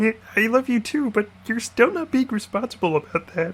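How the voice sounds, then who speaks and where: This put-on character voice is croaky and nasal, pitched fairly high. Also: moderate pace. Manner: playful.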